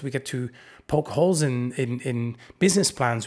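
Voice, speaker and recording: The man's fairly high voice comes through on a very clean recording where the background is silent. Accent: Dutch. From Netherlands. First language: Dutch. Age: 40s. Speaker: podcast host. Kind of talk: solo podcast monologue.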